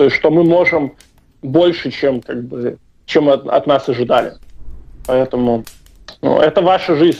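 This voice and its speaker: Fairly high in pitch, a man speaks at a fairly slow pace with ordinary pitch variation. He leaves long, frequent pauses. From Belarus. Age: 20s. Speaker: activist, former soldier. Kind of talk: interview. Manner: hesitant, many fillers.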